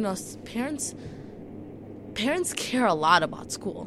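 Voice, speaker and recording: Audible room echo carries the voice of a woman with an American accent. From US, Chicago. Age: 18. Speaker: school board candidate. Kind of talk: radio interview. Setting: studio.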